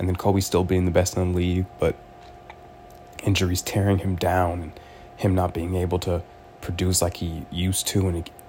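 There is noticeable background noise as a man with an American accent talks at a fairly quick pace in a very deep, low pitch. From Los Angeles, US West Coast. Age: 20s. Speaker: podcaster. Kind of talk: solo podcast monologue. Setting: in bed at home.

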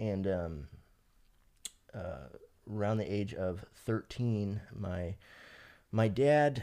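Low-pitched and dark, mellow in tone, a man with an American accent talks with ordinary pitch variation. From Fresno, California. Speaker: person in addiction recovery. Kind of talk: personal testimony. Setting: podcast interview.

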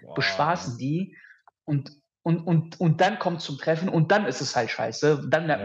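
Using an ordinary speaking voice, a man talks at a moderate pace in a fairly high pitch with ordinary pitch variation. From Düsseldorf, Germany. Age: 30s. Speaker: podcast guest, dating coaching alumnus. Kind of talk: casual chat.

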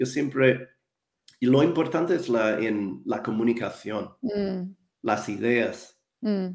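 Pitch swings very widely around a medium level in this man's voice. He talks at a very slow pace. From New Zealand, Wellington. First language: English (speaking Spanish). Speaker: English communication coach. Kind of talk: interview. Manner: halting.

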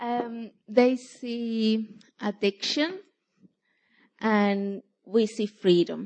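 A woman speaks at a very slow pace with a non-native accent, her pitch fairly high and its variation ordinary. Long, frequent pauses break up her speech against a quiet background. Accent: foreign-accented English. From from overseas. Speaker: church outreach volunteer. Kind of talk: testimony. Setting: church. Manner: halting.

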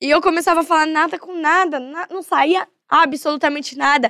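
A woman speaks at a fairly quick pace in a high, bright, sharp voice with an animated tone, the sound dry and close with no echo. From São Paulo, Zona Norte. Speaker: battle rapper (MC). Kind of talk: podcast interview.

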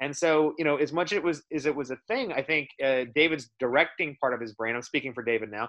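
This man has a normal speaking voice with an American accent. He talks at a fairly quick pace and a fairly high pitch. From Dallas, Texas. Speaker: film producer. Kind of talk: casual chat. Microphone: bad internet connection.

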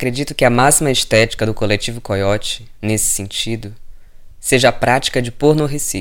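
A man speaks at a moderate pace and medium pitch with fairly even intonation, in a normal speaking voice. The recording is very clean, with a silent background. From Ceará, Brazil. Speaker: radio host, cook and artist. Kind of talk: reading aloud.

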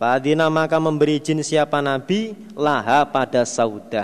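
A man speaks in a normal speaking voice at a fairly slow pace with a fairly high pitch. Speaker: Islamic religious teacher. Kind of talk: religious study lecture with hadith translation.

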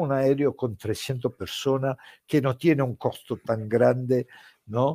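Recorded very cleanly against a silent background, a man with an Italian accent and a medium pitch has a dark, mellow tone in a dry, close sound with no echo. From Italy. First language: Italian (speaking Spanish). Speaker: football commentator. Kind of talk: interview. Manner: animated.

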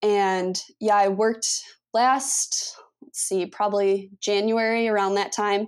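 A woman speaks at a medium pitch and a fairly slow pace. Her intonation stays monotone and flat. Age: 20s. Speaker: sports agent. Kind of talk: interview. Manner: halting.

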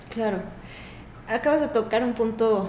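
A woman's fairly high-pitched voice amid noticeable background noise and audible room echo. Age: 50s. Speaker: physician. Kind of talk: interview.

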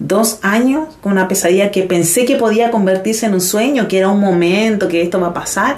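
A woman with lively intonation talks at a moderate pace and medium pitch, with audible room echo and noticeable background noise. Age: 30s. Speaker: dancer and teacher. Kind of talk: casual interview.

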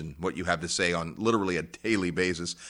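In a very clean recording with a silent background, a man speaks in a very deep, low pitch with a bright, sharp tone. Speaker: radio host. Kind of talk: radio interview. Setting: on location in Honduras.

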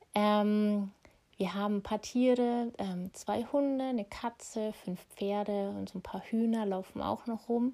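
Her tone is dark and mellow, her pitch fairly high, as this woman speaks at a fairly slow pace. The intonation stays fairly even. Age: 30s. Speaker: podcast host and energy healer. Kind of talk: solo podcast monologue. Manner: casual with frequent fillers.

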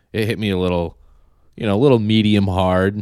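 A man speaks at a fairly quick pace, captured on a very clean recording with a silent background. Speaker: podcast co-host. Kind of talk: casual chat.

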